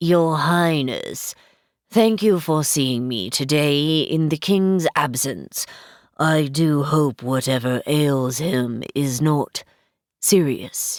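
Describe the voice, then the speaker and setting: This woman puts on a character voice, pitched very deep and low, and talks at a very slow pace. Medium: read story. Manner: formal, haughty.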